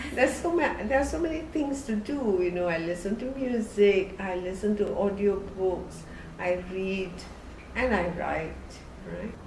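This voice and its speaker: Over noticeable background noise and audible room echo, a woman with a medium-pitched voice talks at a fairly slow pace with lively intonation. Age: 80s+. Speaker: novelist. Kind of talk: documentary interview.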